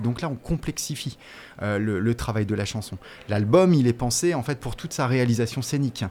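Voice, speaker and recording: With music in the background, a man talks at a fairly quick pace at a medium pitch with ordinary pitch variation. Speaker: researcher and teacher. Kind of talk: interview.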